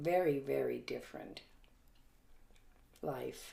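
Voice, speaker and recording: The speech comes at a very slow pace, with audible echo from the room. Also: woman. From Germany. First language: German. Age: 80s+. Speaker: grandmother recounting her life. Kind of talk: family interview. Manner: halting, with many fillers.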